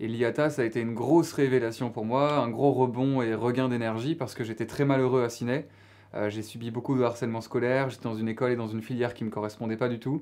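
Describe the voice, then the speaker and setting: Over a quiet background, a man talks at a very fast pace with medium pitch and fairly even intonation. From Belgium, Namur province (Wallonia). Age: 20s. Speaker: author and stage actor. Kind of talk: interview. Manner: hesitant, many fillers.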